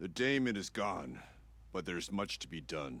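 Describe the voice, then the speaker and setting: A raspy put-on character voice from a man, very deep and low in pitch, at a moderate pace with very wide pitch swings. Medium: video game. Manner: solemn, grave.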